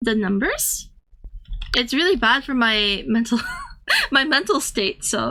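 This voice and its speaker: A woman speaks in a raised, projected voice with a bright, sharp tone and high pitch. Her pace is fairly slow, and her pitch swings very widely. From Thailand (ethnically Korean). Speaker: streamer and artist. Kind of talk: casual chat with live chat readers. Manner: halting, with fillers and restarts.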